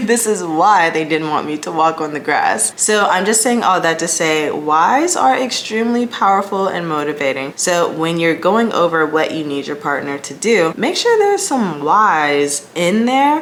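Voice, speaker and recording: With hardly any pauses, a woman with a fairly low pitch speaks at a moderate pace and with lively intonation over noticeable background noise. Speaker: home organization youtuber. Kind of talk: casual vlog tutorial. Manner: slightly lisping from retainer.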